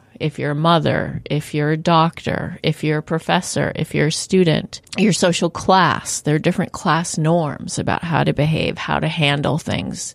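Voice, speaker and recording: A woman speaks with a very deep, low pitch and vocal fry. Her intonation stays fairly even. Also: moderate pace, hardly any pauses. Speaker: sociology professor. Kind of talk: interview answers.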